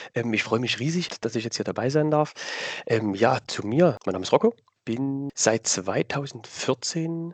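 A man talks at a very slow pace with medium pitch and lively intonation. The sound is dry and close, with no echo. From Saxony, Dresden. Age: 30s. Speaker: cosplayer. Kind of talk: interview answers.

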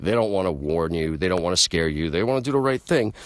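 A man talks at a very fast pace in an animated tone with lively intonation. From New York City (Queens). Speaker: podcast host, hardcore punk musician. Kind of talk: casual monologue. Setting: late night home show.

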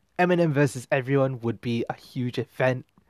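Medium-pitched male voice at a moderate pace, with fairly even intonation and a dry, close sound with no echo. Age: 20s. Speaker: music podcast host. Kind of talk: casual monologue.

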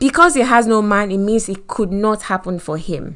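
Against a quiet background, a woman at medium pitch speaks with a Nigerian accent. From Nigeria, Lagos. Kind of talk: motivational talk. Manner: animated, laughs often.

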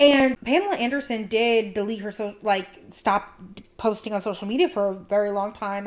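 A woman talks at a moderate pace and a fairly high pitch in a normal speaking voice. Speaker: podcast host. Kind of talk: casual chat.

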